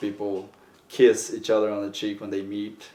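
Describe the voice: A man with a fairly low pitch and a slightly mellow tone speaks at a moderate pace in a monotone, flat intonation, with audible room echo.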